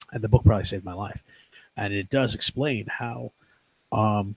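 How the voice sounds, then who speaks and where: Somewhat breathy and fairly low-pitched, a man talks with ordinary pitch variation. The sound is dry and close with no echo. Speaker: podcast host. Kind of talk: casual chat. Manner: fast.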